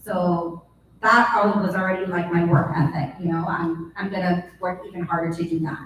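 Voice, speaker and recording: Over noticeable background noise and audible room echo, a woman speaks at a moderate pace with a fairly low pitch and fairly even intonation. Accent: American. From US, Los Angeles, Costa Rican heritage. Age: 40s. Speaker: professional dancer, panelist. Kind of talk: panel discussion. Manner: halting, many fillers.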